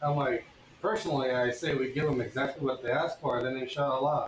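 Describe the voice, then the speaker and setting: Over noticeable background noise, a man speaks with an American accent at a moderate pace. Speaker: blacksmith streamer. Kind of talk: casual chat.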